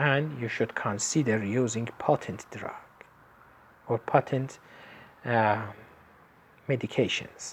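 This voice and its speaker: Long, frequent pauses break up the speech, delivered in an Iranian accent. The pace is very slow. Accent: Iranian (Persian). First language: Persian. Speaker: lecturer in traditional medicine. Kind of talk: lecture. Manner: halting, with frequent fillers.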